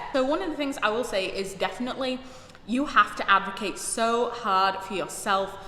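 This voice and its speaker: A woman with a British accent at a moderate pace, amid noticeable background noise and audible room echo. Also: medium pitch for a woman, ordinary pitch variation. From United Kingdom. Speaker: YouTuber, recent graduate. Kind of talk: personal vlog monologue.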